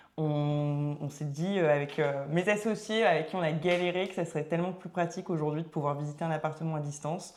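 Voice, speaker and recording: A normal speaking voice delivered at a fairly quick pace with fairly even intonation. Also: woman. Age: 30s. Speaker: entrepreneur, start-up founder. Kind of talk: casual podcast interview. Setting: podcast recording.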